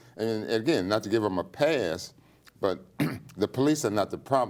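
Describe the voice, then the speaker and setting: This man speaks at a fairly quick pace in a normal speaking voice. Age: 60s. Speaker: attorney, nonprofit founder. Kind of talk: interview.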